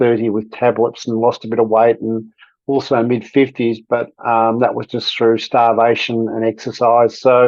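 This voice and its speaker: A man speaks in an Australian accent at a moderate pace. His pitch sits in the medium range. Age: 60s. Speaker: podcast guest sharing weight loss story. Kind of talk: personal testimony in interview.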